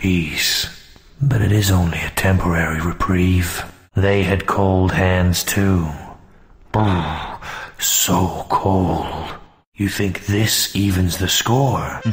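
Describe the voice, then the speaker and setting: Very deep and low, a man's voice moves at a very slow pace. Long, frequent pauses break up his speech. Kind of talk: action game one-liners. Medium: machinima. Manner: gruff, deadpan, sardonic.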